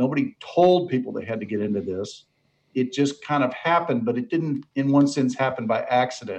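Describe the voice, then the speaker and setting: A man's medium-pitched, unremarkable speaking voice, with ordinary pitch variation and a fairly quick pace. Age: 60s. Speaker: author on mentoring. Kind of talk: interview.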